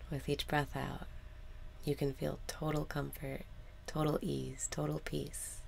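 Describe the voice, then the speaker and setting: A calm-toned woman at a fairly slow pace, with long, frequent pauses. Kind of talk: guided meditation. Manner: soft, calm, slow.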